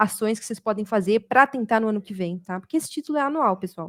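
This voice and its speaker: Fairly quick and animated, a woman's fairly high voice comes across dry and close with no echo. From Brazil, São Paulo state. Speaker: automation developer and community speaker. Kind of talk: community talk presentation. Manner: fast.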